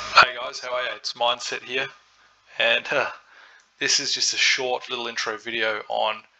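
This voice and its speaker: A man with an Australian accent talks at a moderate pace in a relaxed tone. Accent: Australian, twangy. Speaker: crypto trading educator. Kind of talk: tutorial. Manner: casual, relaxed.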